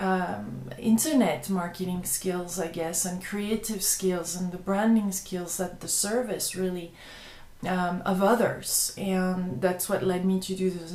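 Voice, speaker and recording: A woman with a French accent, fairly even intonation and a fairly slow pace, in audible room echo. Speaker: web TV host and video blogger. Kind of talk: casual vlog monologue. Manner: halting, many repetitions and fillers.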